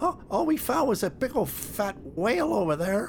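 Someone puts on a character voice against clear background noise. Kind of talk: comic creature voice. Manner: defensive, whiny, pleading.

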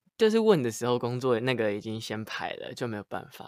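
The pace is fairly quick. It's a very clean recording with a silent background. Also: man. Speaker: singer-songwriter. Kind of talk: casual chat.

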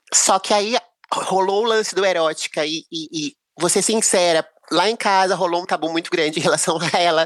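In a plain, everyday voice, a woman speaks at a fairly low pitch with fairly even intonation, the sound dry and close with no echo. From Brazil, Rio de Janeiro. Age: 40s. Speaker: singer-songwriter. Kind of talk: casual chat.

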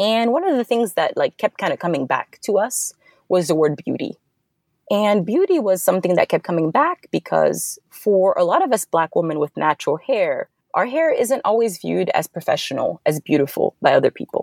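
In a West African accent, a woman talks at a moderate pace with very even loudness. The sound is dry and close with no echo, on a very clean recording with a silent background. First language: Fulani. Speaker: software developer, founder of side project. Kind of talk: casual interview.

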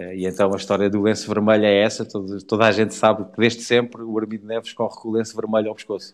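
A man at a very fast pace, fairly low pitch and monotone, flat intonation. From Portugal, near Portalegre. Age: 40s. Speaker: motorcycle rally rider. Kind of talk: casual interview. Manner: halting, repeats words.

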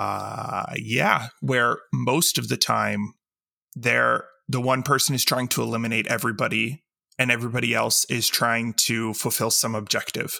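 A man's medium-pitched voice has a bright, sharp tone and fairly even intonation at a moderate pace. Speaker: podcast co-host. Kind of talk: casual chat.

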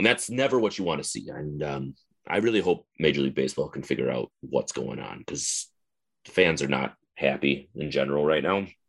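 An American accent marks this man's very deep, low voice with vocal fry, lively intonation and a fairly quick pace. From northern Wisconsin. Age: 30s. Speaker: baseball fan forum moderator. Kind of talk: casual interview.

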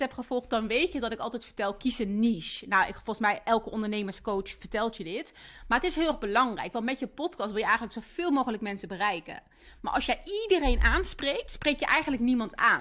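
This woman's fairly high voice has a bright, sharp tone and lively intonation. She talks at a fairly quick pace on a very clean recording with a silent background. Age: 30s. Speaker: podcast host and entrepreneur. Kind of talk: personal monologue.

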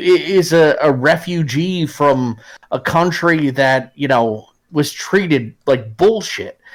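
A man's voice sits at a fairly high pitch. He speaks at a very slow pace. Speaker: wargaming podcaster. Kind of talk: casual chat. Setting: livestream with live chat.

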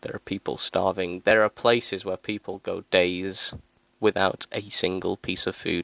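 A man at a moderate pace, dry and close with no echo, on a very clean recording with a silent background. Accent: British. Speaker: solo podcaster. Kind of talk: angry political rant about hunger and poverty. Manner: indignant, repeating lines with mounting outrage; rhetorical, sarcastic jabs.

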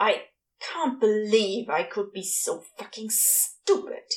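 In a put-on character voice, someone speaks at a fairly slow pace with an angry tone and hissing. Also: woman, fairly high pitch for a woman. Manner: hissed, angry, self-reproaching.

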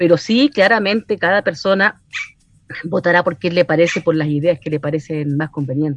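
In a dry, close sound with no echo, a woman with a plain, everyday voice speaks at a moderate pace, her fairly low pitch showing ordinary variation. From Chile, Valparaíso region. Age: 50s. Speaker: social worker and constituent assembly candidate. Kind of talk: radio interview.

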